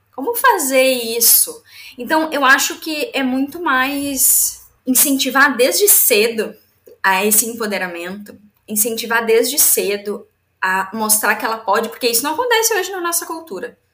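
With a southern Brazilian accent, a woman speaks at a fairly slow pace. Her pitch is high. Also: lively intonation. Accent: gaúcho Brazilian Portuguese. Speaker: entrepreneur and business mentor. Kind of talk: casual interview.

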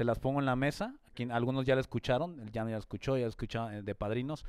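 A man speaks at a fairly quick pace with a Mexican accent. His pitch sits in the medium range. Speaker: podcast co-host. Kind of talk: casual chat.

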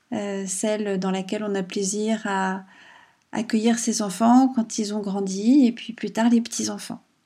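Captured in a very clean recording with a silent background, a woman speaks at a fairly high pitch in a somewhat breathy voice with a gentle, calm, dark and mellow tone. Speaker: podcast host and writer. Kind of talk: casual monologue. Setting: at home.

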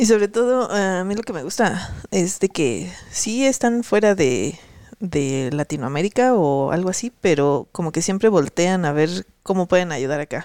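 In a dry, close sound with no echo, a woman speaks at a fairly slow pace and medium pitch, her tone dark and mellow and her pitch swinging very widely. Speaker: podcast co-host and programming instructor. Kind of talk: casual chat.

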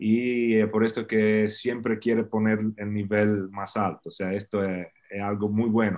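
Against a quiet background, a man speaks with an Italian accent. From Italy (Faenza, near Bologna). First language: Italian (speaking Spanish). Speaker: swimming coach. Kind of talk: interview.

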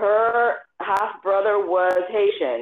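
A woman is speaking. She has a Miami accent. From Miami, Florida (Afro-Cuban family). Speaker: community organization founder. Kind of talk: interview conversation.

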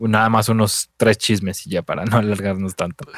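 A man at medium pitch with a Mexican accent, in a dry, close sound with no echo. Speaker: podcast co-host. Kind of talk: casual chat.

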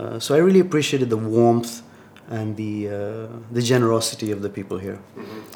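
A man's fairly quick speech with ordinary pitch variation and big swings in loudness, over noticeable background noise. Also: medium pitch for a man. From Tanzania. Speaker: startup founder and CEO. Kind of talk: interview.

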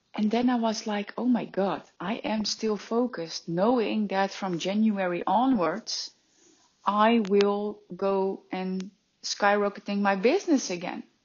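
Fairly slow, fairly even speech from a woman at a medium pitch. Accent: Dutch. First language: Dutch. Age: 30s. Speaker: life and business coach. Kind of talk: motivational monologue.

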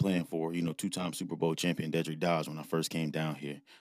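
A man with an American accent speaks fairly quickly in a very deep, low voice. The recording is very clean, with a silent background. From Ohio. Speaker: high school football coach. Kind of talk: interview. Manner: halting, many fillers.

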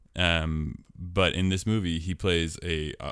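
A man with an American accent speaks with a very deep, low pitch, vocal fry and ordinary pitch variation. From US Pacific Northwest (Portland, Oregon). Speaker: podcast host. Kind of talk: casual chat.

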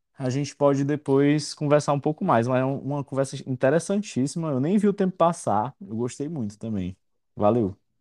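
A man with a fairly high pitch and a dark, mellow tone talks at a moderate pace with lively intonation. The sound is dry and close with no echo, over a quiet background. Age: 30s. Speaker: podcast host. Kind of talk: casual interview.

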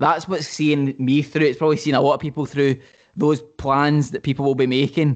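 With a Glaswegian accent, the speaker goes at a fairly quick pace in a monotone, flat intonation against a quiet background. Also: man. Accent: Glaswegian Scottish. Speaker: football podcast co-host. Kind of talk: casual chat. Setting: call.

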